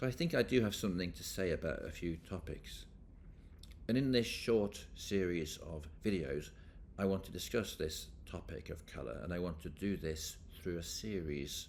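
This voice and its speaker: Audible room echo surrounds a man with a very deep, low pitch and vocal fry. His intonation is lively. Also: moderate pace. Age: 60s. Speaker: professor. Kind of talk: lecture.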